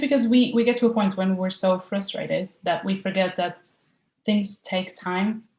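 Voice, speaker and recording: A woman with a Portuguese accent, medium pitch, a somewhat breathy voice, fairly even intonation and a moderate pace. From Portugal. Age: 20s. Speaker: university student, client. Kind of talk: interview.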